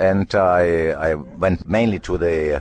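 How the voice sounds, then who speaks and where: He speaks in a very deep, low register. The speaker is male. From Italy. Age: 70s. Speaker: journalist. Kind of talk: interview answer.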